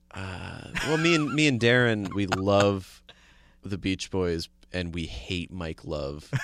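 Speaking at a very slow pace with a slight New Jersey accent, a man uses a very deep, low pitch that swings very widely. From suburban New Jersey. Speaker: comedian and show producer. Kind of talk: casual interview.

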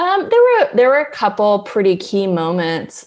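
A woman is talking. Her speech carries an American accent. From US West Coast, Berkeley, California. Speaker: journalist and author. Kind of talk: interview.

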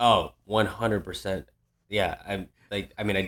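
A man talks in an American accent with a fairly low pitch. His intonation stays monotone and flat. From Worcester, Massachusetts. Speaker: comedian and teacher. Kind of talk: casual chat. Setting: video call.

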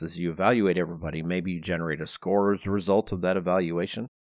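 Over a quiet background, a man speaks at a very deep, low pitch in a dry, close sound with no echo. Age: 50s. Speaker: architect and podcast host. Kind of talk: casual chat.

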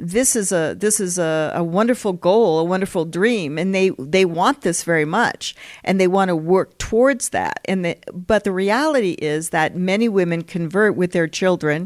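A woman with an American accent has an ordinary speaking voice, medium in pitch with ordinary pitch variation. She talks at a moderate pace in a very clean recording with a silent background. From US West (Colorado, California). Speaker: historian, professor. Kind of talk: interview.

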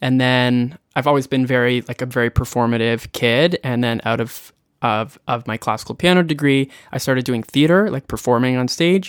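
A man with a Canadian accent and a normal speaking voice talks at a medium pitch with ordinary pitch variation, the recording very clean with a silent background and a dry, close sound with no echo. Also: moderate pace. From Prince Edward Island, Canada. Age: 30s. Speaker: singer-songwriter. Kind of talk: podcast interview.

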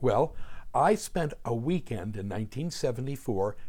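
At a moderate pace, a man with an American accent speaks in a dark, mellow, somewhat breathy voice with lively intonation. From New Jersey, US (South Jersey suburbs). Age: 60s. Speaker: music historian and podcast host. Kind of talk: scripted narration. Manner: animated.

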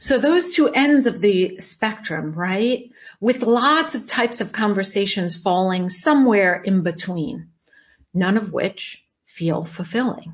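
Over a quiet background, a somewhat breathy voice moves at a fairly slow pace with lively intonation. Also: woman, medium pitch for a woman. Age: 50s. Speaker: life coach podcast host. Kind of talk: solo podcast monologue.

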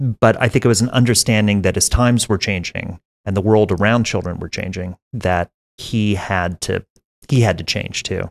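This man has a plain, everyday voice, fairly low in pitch, speaking at a moderate pace with fairly even intonation, recorded dry and close with no echo against a quiet background. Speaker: documentary filmmaker. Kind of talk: interview. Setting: in person at a film festival.

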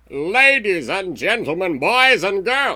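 Using a put-on character voice, a man speaks in a raised, projected voice pitched high, at a fairly slow pace.

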